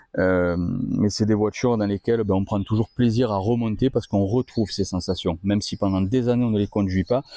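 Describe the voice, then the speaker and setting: A man talks at a fairly quick pace with a fairly low pitch and a dark, mellow tone. His intonation is fairly even, and the sound is dry and close with no echo. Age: 30s. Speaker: car workshop presenter. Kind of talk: video presentation of a car. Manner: hesitant, many fillers.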